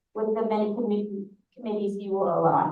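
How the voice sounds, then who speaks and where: In an American accent, a woman with a medium pitch speaks at a moderate pace, with audible room echo. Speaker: synagogue leader presenting annual report. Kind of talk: annual meeting report. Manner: halting.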